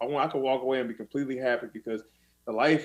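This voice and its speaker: A man speaks in a flat monotone at a fairly high pitch. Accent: American. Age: 30s. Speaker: MMA fighter. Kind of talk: casual chat.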